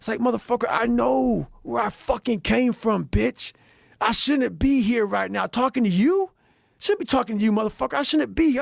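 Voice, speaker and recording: Dry and close with no echo, an American-accented man talks at a fairly quick pace in an animated tone. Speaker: motivational speaker and endurance athlete. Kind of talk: casual chat. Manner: loud.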